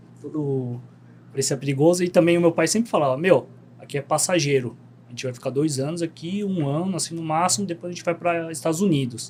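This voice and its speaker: A man with a normal speaking voice talks at a fairly quick pace, his pitch fairly high and its variation ordinary. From Korean community in Bom Retiro, São Paulo, Brazil. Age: 30s. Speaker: podcast guest, travel content creator. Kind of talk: casual interview chat.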